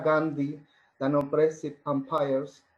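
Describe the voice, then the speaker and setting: Speaking with a Spanish accent, a man talks at a fairly slow pace. His pitch is fairly high. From Argentina. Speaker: poet. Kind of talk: poetry reading.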